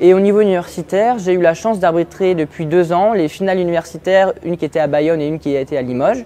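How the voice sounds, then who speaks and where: A man's high-pitched voice at a very fast pace, ordinary pitch variation, hardly any pauses, and music in the background. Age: 20s. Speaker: university student and handball referee. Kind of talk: prepared personal profile talk. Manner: measured, with hesitations.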